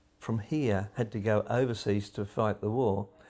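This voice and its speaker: Here a man speaks with a fairly low pitch. His tone is dark and mellow. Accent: Australian. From Western Australia, Bibra Lake area. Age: 70s. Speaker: local resident recalling wartime. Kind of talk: interview testimony.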